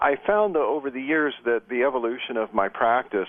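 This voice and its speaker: A man speaks with an American accent. His pace is fairly quick, with ordinary pitch variation. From US Midwest, Sioux City, Iowa. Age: 60s. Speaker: shamanic practitioner and psychotherapist. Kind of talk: radio interview. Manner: hesitant, many fillers.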